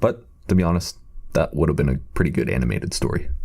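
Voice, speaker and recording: A man talking at a very fast pace with very wide pitch swings, over noticeable background noise. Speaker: commentary YouTuber. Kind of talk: scripted commentary video. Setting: temporary replacement microphone.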